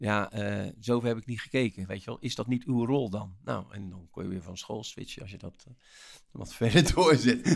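Pitch moves in an ordinary way. The pace stays moderate. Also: man, medium pitch for a man. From Rotterdam, Netherlands. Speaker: motivational speaker and author. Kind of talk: interview. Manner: energetic; animated.

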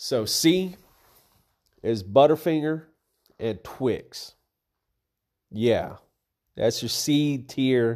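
A man of medium pitch speaks at a very slow pace with lively intonation, in a very clean recording with a silent background. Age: 30s. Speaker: podcaster. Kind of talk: solo casual monologue. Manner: casual, profane.

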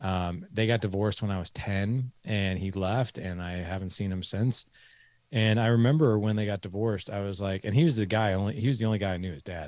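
Speaking fairly quickly in a normal speaking voice, a man with a fairly low pitch and ordinary pitch variation comes through in a very clean recording with a silent background. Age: 40s. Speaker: fatherhood podcast host and coach, guest. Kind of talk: interview, personal storytelling.

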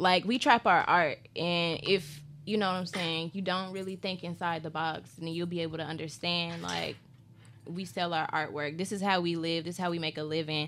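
A woman with a plain, everyday voice, a fairly low pitch, and fairly even intonation. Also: moderate pace. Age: 20s. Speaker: festival founder and artist manager. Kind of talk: casual chat.

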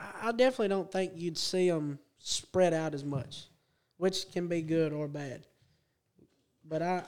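Here a man talks with a Southern US accent and a high pitch. His pace is moderate and his pitch variation ordinary. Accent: Southern American. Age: 20s. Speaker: go-kart racer. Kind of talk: casual chat. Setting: studio.

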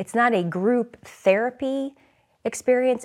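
A woman is speaking. Her pace is fairly slow. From US Midwest, St. Louis. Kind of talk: interview.

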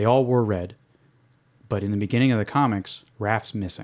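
Heard on a very clean recording with a silent background, a man with a New York accent has a fairly low pitch and ordinary pitch variation. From New York City. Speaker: podcast host. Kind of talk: casual chat.

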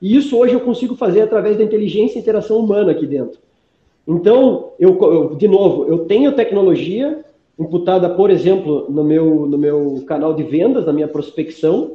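His voice sits high for a man, with lively intonation. He talks at a moderate pace. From Brazil, Curitiba. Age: 30s. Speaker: food company founder. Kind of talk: interview.

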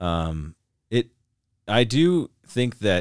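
The recording is very clean, with a silent background. A man speaks in an American accent. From Montana. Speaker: podcast host. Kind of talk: casual chat. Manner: hesitant, many fillers.

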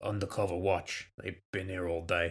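In a put-on character voice, a man speaks with a raspy, very deep, low pitch and monotone, flat intonation on a very clean recording with a silent background. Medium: audio drama. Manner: gruff, casual, sardonic.

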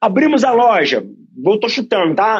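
A man with a high pitch talks fairly slowly, his intonation lively. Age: 40s. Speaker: running coach and entrepreneur. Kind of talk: casual chat.

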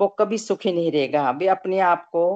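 A woman speaks in an ordinary speaking voice with fairly even intonation. The sound is dry and close with no echo, and the background is quiet. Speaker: satsang participant. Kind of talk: group discussion. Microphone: poor connection.

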